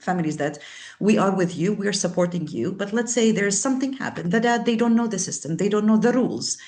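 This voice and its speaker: The voice is somewhat breathy, with a non-native accent. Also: woman. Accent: foreign. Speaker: service provider. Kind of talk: panel discussion.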